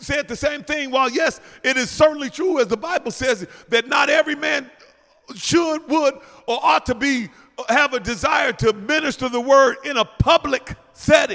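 Raising and projecting his voice, a man speaks at an extremely high pitch with ordinary pitch variation. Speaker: preacher. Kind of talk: sermon. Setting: church. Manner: loud.

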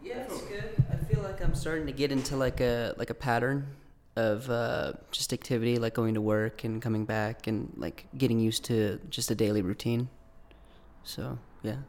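An American-accented man talks at a moderate pace and medium pitch with ordinary pitch variation. His is an unremarkable speaking voice. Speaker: engineering student intern. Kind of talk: casual group interview.

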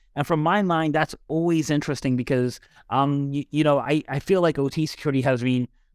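Speaking fairly quickly with fairly even intonation, a man uses an ordinary speaking voice with an American accent, in a very clean recording with a silent background. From Dallas, Texas, US. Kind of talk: casual podcast conversation. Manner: casual, filler-heavy.

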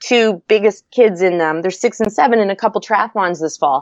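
Lively intonation marks this voice, which moves fairly quickly. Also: woman. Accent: Maritime Canadian. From Nova Scotia, Canada. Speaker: kinesiology PhD and former PE teacher. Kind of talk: interview.

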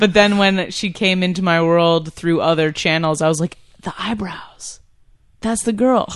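A woman's normal speaking voice at medium pitch, fairly slow, with an American accent and ordinary pitch variation. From upstate New York. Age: 20s. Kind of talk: casual interview chat.

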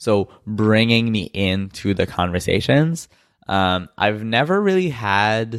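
The voice carries a slight French-Canadian accent and lively intonation. It moves at a very slow pace, with very even loudness. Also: man. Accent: light French-Canadian accent in English. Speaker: podcast co-host, designer. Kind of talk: casual chat. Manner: frequent fillers like 'um' and 'like'.

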